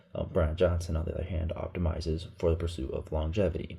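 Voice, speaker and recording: A man's very deep, low voice, dark, mellow and somewhat breathy in tone. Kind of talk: casual vlog talk to camera. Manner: casual, rambling.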